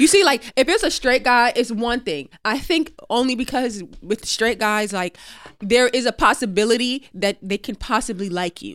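An unremarkable speaking voice with lively intonation comes through in a very clean recording with a silent background. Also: woman, fairly high pitch for a woman, moderate pace. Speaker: podcast co-host. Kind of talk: casual chat.

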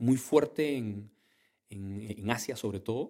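The speaker is a man with a dark, mellow tone. He goes at a fairly slow pace. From Peru, Callao. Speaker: entrepreneur. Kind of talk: interview. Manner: halting.

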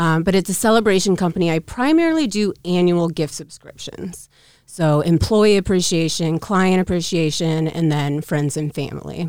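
A woman with an American accent talks at a moderate pace in a plain, everyday voice, her pitch fairly low and its variation ordinary. She speaks with hardly any pauses. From Council Bluffs / Omaha, US Midwest. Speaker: entrepreneur, gift business owner. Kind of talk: casual interview chat.

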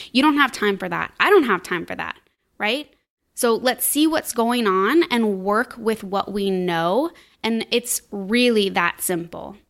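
In a very clean recording with a silent background, a woman uses a normal speaking voice, fairly high in pitch, with lively intonation at a fairly slow pace. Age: 30s. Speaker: podcast host, business coach and wellness mentor. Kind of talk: solo podcast monologue. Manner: casual, upbeat.

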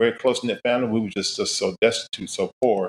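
In an ordinary speaking voice, a man with an American accent talks at a fairly quick pace and a medium pitch. The sound is dry and close, with no echo. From Florida, Daytona Beach. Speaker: gospel jazz musician and preacher. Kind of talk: interview storytelling.

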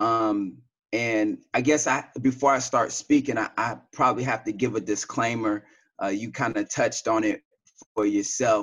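A man talks with a Southern US accent. His pace is fairly slow and his intonation fairly even. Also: quiet background. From US South, Tennessee. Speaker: podcast guest sharing life story; sales and marketing. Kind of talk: interview.

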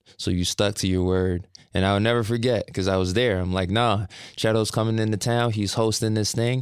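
Speaking at a fairly quick pace, a man with an ordinary speaking voice and a fairly low pitch keeps his intonation fairly even and his loudness very even on a very clean recording with a silent background. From Canada, Brampton, Ontario. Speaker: rapper and singer. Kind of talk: casual interview.

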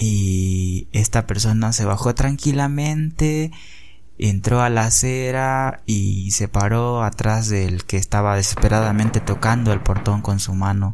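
At a very slow pace, a man talks in a fairly low pitch with ordinary pitch variation. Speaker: podcaster. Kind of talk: personal storytelling.

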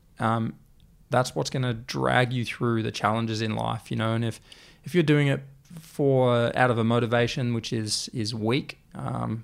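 With an Australian accent, a man speaks at a moderate pace and medium pitch, using ordinary pitch variation. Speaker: clothing brand founder. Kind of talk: interview.

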